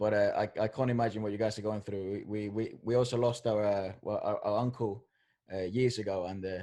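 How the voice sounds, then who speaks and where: A man's fairly low, dark and mellow voice with a Spanish accent, fairly quick and monotone, flat in intonation, over a quiet background. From Venezuela. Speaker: podcast co-host. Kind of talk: casual interview chat. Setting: live video podcast.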